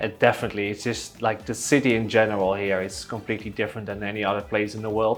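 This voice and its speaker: Over music in the background, a man with a fairly low pitch talks very fast in a monotone, flat delivery with hardly any pauses. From Netherlands. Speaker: real estate agent. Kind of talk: interview.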